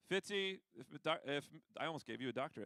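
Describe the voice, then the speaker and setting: The voice is loud, with a bright, sharp tone and lively intonation, recorded dry and close with no echo. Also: man. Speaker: school administrator. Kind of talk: announcements to students.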